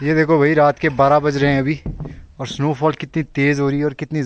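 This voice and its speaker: In a dry recording with no echo, a man speaks at a moderate pace with monotone, flat intonation. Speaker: vlogger. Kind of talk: casual vlog chat. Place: open country. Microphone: phone near.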